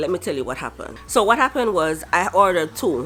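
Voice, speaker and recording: There is noticeable noise behind the speaker. She is a woman with a medium-pitched voice. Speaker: vlogger. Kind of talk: casual vlog. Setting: at home.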